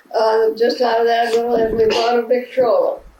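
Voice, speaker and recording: Amid noticeable background noise, a woman with a high pitch speaks with lively intonation. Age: 80s+. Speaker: retired farm woman, great-grandmother. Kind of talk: interview answer, family home video.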